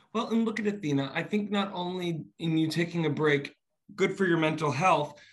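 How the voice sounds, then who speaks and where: At a fairly quick pace, a man speaks with an American accent. His pitch is fairly high, with ordinary pitch variation. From New York. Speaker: interviewer and director. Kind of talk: interview. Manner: animated.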